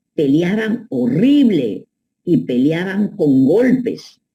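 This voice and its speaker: Fairly low in pitch, a woman's dark, mellow voice moves in very wide pitch swings. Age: 80s+. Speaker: psychoanalyst. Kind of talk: advice monologue. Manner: animated.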